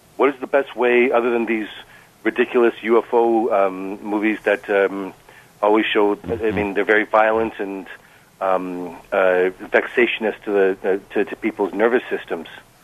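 A man's fairly low-pitched voice, with fairly even intonation and a fairly slow pace. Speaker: caller. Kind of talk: call-in radio discussion. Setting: phone call. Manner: halting.

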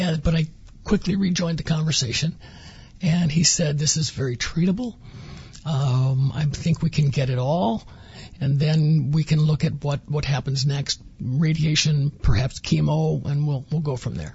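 A man speaks at a moderate pace with fairly high pitch and ordinary pitch variation. His is a plain, everyday voice. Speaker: former cancer patient. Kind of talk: personal story interview.

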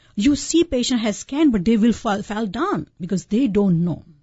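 Her pace is moderate. A woman talks with pitch that swings very widely. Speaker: physician and home care company CEO. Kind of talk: radio interview. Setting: radio studio.

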